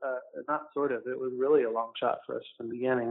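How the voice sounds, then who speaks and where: The speaker is a man with an American accent. He moves at a fairly quick pace. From Orlando, Florida. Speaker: film producer. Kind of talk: casual interview. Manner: hesitant, many fillers.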